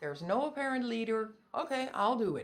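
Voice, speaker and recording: A woman's fairly high, lively-toned voice with a Dutch accent at a moderate pace. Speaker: pet pig owner. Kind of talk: tutorial. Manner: halting.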